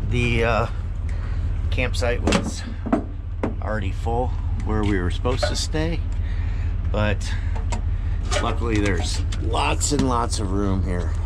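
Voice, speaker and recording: Amid loud background noise, a man speaks at a very slow pace with long, frequent pauses. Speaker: RV traveler vlogger. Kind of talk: casual vlog chat. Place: open country. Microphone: phone near.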